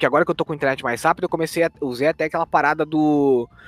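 A man talks in a fairly high pitch. The sound is dry and close with no echo, and music plays in the background. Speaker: gaming podcast co-host. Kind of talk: casual chat.

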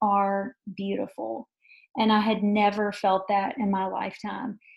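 At a fairly slow pace, a woman with a fairly high, somewhat breathy voice speaks in a monotone, flat way. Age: 40s. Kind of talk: testimony.

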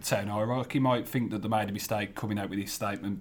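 This is a plain, everyday voice from a man. It sits fairly low in pitch, varying in an ordinary way. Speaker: football journalist. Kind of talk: casual chat.

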